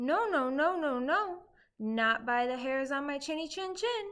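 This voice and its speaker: In a very clean recording with a silent background, a woman uses a put-on character voice at a high pitch and a moderate pace. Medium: read story.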